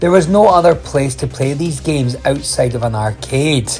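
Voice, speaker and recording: Over music in the background, a man talks at a moderate pace with lively intonation and medium pitch. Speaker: retro gaming video host. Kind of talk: documentary-style narration on retro video game history.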